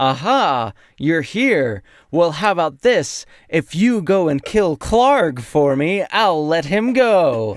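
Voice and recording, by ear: On a very clean recording with a silent background, a man puts on a character voice with a high pitch. He speaks very slowly, and his pitch swings very widely.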